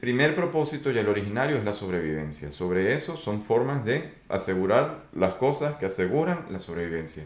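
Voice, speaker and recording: Barely pausing, a man with a fairly low pitch swings his pitch very widely, with audible room echo around him. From Venezuela. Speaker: podcast host on complex systems. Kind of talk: solo monologue podcast. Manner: hesitant with fillers.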